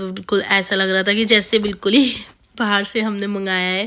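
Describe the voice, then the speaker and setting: In a very clean recording with a silent background, a woman at medium pitch speaks at a fairly slow pace with monotone, flat intonation. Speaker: family vlogger. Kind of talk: vlog voiceover narration. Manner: casual, conversational; halting, self-correcting.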